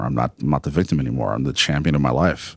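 A man with vocal fry talks at a very fast pace. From Texas (El Paso). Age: 40s. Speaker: tech founder. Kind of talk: casual interview. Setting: high-rise location downtown.

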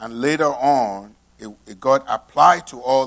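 A man speaks at a very slow pace in a very clean recording with a silent background. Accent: Nigerian. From Nigeria. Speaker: pastor. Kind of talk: sermon. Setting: church.

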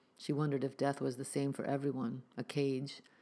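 A plain reading aloud.

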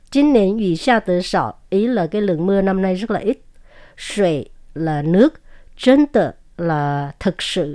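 The pitch swings very widely in a dark, mellow tone. The recording is very clean, with a silent background. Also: woman, medium pitch for a woman, fairly slow pace. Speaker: language teaching show co-host. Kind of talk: language lesson.

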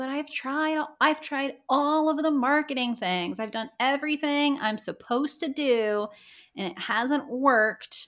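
A put-on character voice, female-sounding, high in pitch and whiny in tone. It moves at a fairly slow pace. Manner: whiny, complaining.

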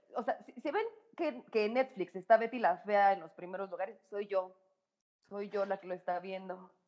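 Her loudness swinging widely, a woman speaks at a medium pitch and a moderate pace with ordinary pitch variation. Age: 30s. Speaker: psychologist and sexologist. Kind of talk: casual chat. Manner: animated.

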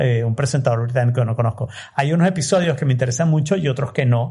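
Very fast and somewhat breathy, a man talks at medium pitch in a dark, mellow tone with ordinary pitch variation. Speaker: podcaster. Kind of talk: interview.

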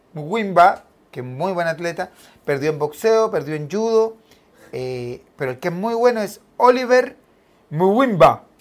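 On a very clean recording with a silent background, the talking moves fairly slowly. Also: long, frequent pauses. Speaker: radio show co-host. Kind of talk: casual chat.

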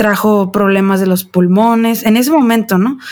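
A woman speaks in an ordinary speaking voice at a medium pitch. Her intonation stays fairly even. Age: 30s. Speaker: mother. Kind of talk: casual chat.

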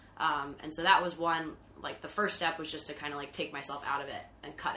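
Very fast, a woman talks in a very deep, low pitch with ordinary pitch variation. Noticeable background noise runs underneath. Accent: American. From US, Philadelphia. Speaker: events organizer and business owner. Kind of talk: casual chat.

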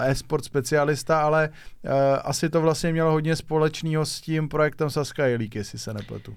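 In a very clean recording with a silent background, a man with an ordinary speaking voice talks at a moderate pace and a fairly high pitch. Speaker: podcast host. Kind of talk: interview.

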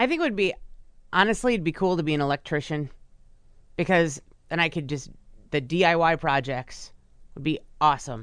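Against a quiet background, a woman speaks at a moderate pace and a fairly low pitch. Her pitch varies in an ordinary way, and her pauses are long and frequent. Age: 40s. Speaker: radio co-host and news reader. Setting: radio studio.

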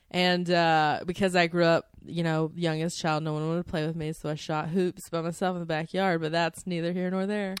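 A woman with an American accent speaks at a fairly quick pace with hardly any pauses, her fairly low voice monotone and flat. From North Carolina. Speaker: comedian. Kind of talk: casual chat.

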